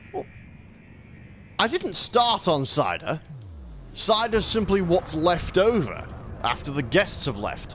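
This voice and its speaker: With an English accent, a man speaks very slowly at a high pitch, leaving long, frequent pauses. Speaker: gaming streamer. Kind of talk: live gameplay commentary. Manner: halting.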